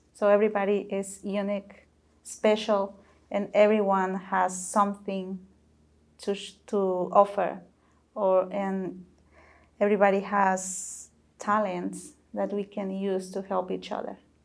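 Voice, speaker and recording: The recording is very clean, with a silent background, as a woman speaks at a medium pitch in a monotone, flat intonation. Her pace is fairly slow and she leaves long, frequent pauses. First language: not English. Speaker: panelist. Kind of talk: panel discussion.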